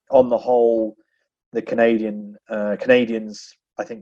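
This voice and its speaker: Over a quiet background, a man with an English accent speaks in a dark, mellow tone with monotone, flat intonation. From England. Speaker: business executive. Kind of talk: podcast interview.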